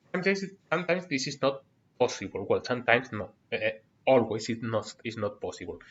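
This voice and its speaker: Very fast and with lively intonation, a man with a Spanish accent speaks in a somewhat breathy, medium-pitched voice. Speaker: university lecturer. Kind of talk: online lecture. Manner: halting, many fillers.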